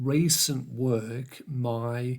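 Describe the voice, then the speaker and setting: This man's somewhat breathy voice sits at a medium pitch with fairly even intonation. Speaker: vlogger. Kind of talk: monologue to camera. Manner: halting.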